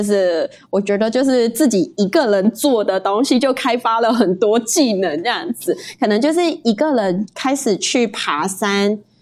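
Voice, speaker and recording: Her voice is fairly high, with lively intonation and very even loudness. This woman, in an ordinary speaking voice, keeps a moderate pace. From Malaysia. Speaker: guest, Malaysian living in Taiwan. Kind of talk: casual interview chat.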